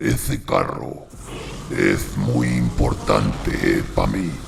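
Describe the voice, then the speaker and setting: A man speaks very slowly in a put-on character voice pitched very deep and low. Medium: read story. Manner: gruff, bossy.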